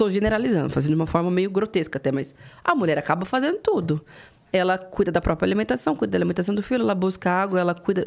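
A woman talks very fast at a medium pitch. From interior of São Paulo state, Presidente Prudente. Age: 30s. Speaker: politician. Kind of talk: interview.

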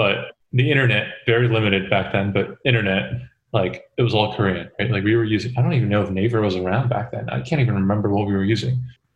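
A man talks very fast in a fairly low voice with vocal fry. His pitch varies in an ordinary way. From South Korea, Seoul. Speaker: podcast guest. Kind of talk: casual chat.

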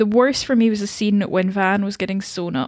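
A woman's plain, everyday voice at a medium pitch, fairly quick in pace, with a dry, close sound and no echo. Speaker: podcast co-host. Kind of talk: casual chat.

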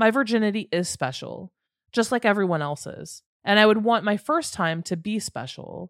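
With an unremarkable speaking voice, a woman talks at a medium pitch with lively intonation, the sound dry and close with no echo on a very clean recording with a silent background. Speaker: podcast host. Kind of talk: true crime storytelling narration.

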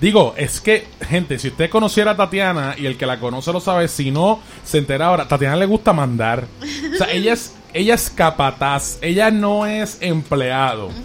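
Over noticeable background noise, a man speaks at a high pitch with very wide pitch swings. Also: moderate pace. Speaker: podcast host. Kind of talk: casual chat. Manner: animated.

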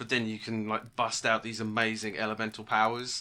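With a British accent, this voice belongs to a man. His words carry that accent throughout. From British Isles. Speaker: podcast co-host and game master. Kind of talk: casual chat.

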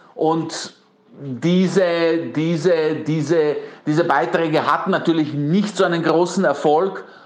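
A man with a Bosnian accent speaks very slowly in a high pitch, his intonation monotone and flat, his loudness very even, with audible room echo. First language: Bosnian (speaking German). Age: 40s. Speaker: PR consultant. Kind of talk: interview. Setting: pre-recorded interview, outside studio.

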